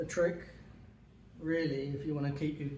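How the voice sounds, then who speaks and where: Over noticeable background noise, a man speaks in a relaxed tone with a fairly high pitch and flat, monotone intonation. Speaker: dog owner. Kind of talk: casual how-to demonstration. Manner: hesitant, relaxed, with many fillers.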